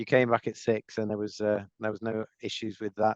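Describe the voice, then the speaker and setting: Moderate pace in a dry, close sound with no echo. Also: man. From Merseyside, northern England (Formby, north of Liverpool). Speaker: banking executive. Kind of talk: interview. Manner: halting, many repetitions and fillers.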